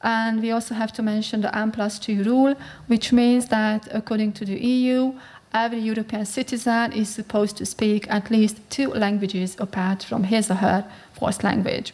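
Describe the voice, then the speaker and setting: A woman in a Hungarian accent, fairly high in pitch, with fairly even intonation at a moderate pace. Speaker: researcher. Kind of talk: conference talk. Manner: halting.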